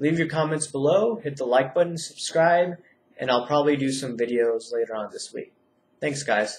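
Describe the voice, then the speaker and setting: Somewhat breathy male speech, fairly high in pitch, with ordinary pitch variation at a moderate pace. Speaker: YouTube commentator on finance and politics. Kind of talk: casual video commentary.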